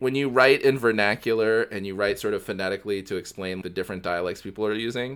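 Someone reads aloud in a natural voice with ordinary pitch variation.

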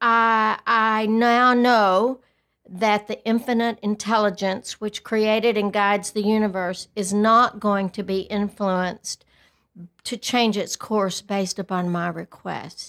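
A woman's fairly high, monotone, flat voice in a West Texas accent at a very slow pace, on a very clean recording with a silent background. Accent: West Texas drawl. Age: 60s. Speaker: podcast co-host. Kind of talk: casual chat.

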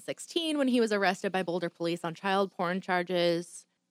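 A woman with an unremarkable speaking voice talks at a fairly quick pace in an American accent. Her pitch sits in the medium range. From southern Michigan. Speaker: true crime podcast co-host, radio worker. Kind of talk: true crime storytelling, reading from notes. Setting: studio. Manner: casual, filler-heavy.

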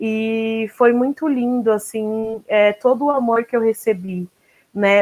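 A woman's fairly high voice, fairly even in intonation, at a very slow pace. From Brazil. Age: 30s. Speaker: artist and poet. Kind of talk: online panel discussion.

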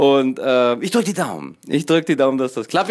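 A man speaks in a fairly high pitch with lively intonation. The recording is very clean with a silent background. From northern Germany, Kiel. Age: 40s. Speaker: podcaster. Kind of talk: casual monologue. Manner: halting, filler-heavy.

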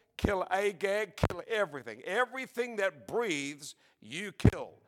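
On a very clean recording with a silent background, a man with an Australian accent speaks at a fairly slow pace in a high pitch with ordinary pitch variation. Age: 70s. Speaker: preacher. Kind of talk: sermon.

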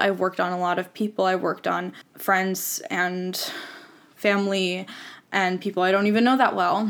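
A woman talks at a moderate pace in a medium pitch. Her intonation is flat and monotone. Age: 20s. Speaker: podcast host. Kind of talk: personal monologue. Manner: casual.

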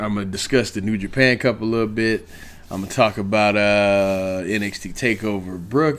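This man's tone is animated. He talks at a moderate pace. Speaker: wrestling podcast host. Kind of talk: wrestling rant, casual profane monologue.

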